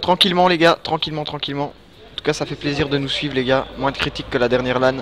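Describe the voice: Fast and fairly high-pitched, a man talks with a fairly bright tone and little pitch movement.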